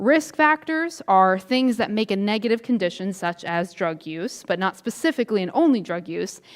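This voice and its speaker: The speaker is a woman with a medium pitch. Her pitch swings very widely. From US South. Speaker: substance use prevention educator. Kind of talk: lecture. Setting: church presentation. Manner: fast.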